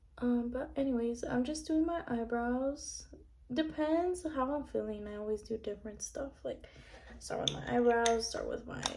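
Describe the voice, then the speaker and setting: High-pitched woman's voice over noticeable background noise. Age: 20s. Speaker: beauty vlogger. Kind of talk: casual chat. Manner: hesitant, many fillers.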